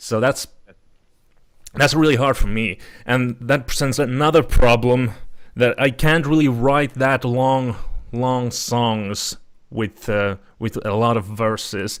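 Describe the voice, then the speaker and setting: A man speaks with a Finnish accent at medium pitch. His pace is fairly slow, with ordinary pitch variation. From Finland. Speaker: podcast host. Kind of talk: casual chat. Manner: halting.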